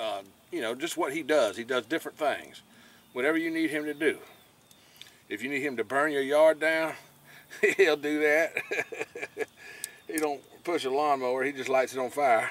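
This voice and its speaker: Long, frequent pauses at a moderate pace, fairly even intonation and dry sound with no echo. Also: man. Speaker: fishing vlogger. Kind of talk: casual vlog chat. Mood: relaxed, joking. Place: boat. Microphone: phone near.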